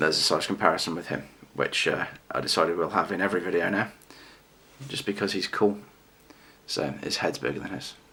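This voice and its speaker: A man with an English accent and a very deep, low pitch speaks at a fairly quick pace, with long, frequent pauses. His pitch variation is ordinary, and noticeable background noise is present. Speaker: toy collector and reviewer. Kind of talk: casual vlog review. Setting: home video recording, late at night. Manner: fast.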